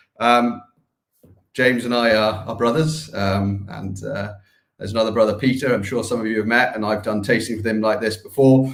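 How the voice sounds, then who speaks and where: A man with a slight Scottish accent speaks at a medium pitch and a fairly quick pace. His intonation is fairly even, and the room echo is audible. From Scotland. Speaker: distillery representative. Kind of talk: live whisky tasting. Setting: livestream.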